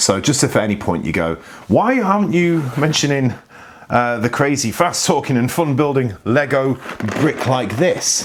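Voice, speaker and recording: Amid noticeable background noise, a man talks at a medium pitch. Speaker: board game youtuber. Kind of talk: casual talk to camera. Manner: hesitant, many fillers.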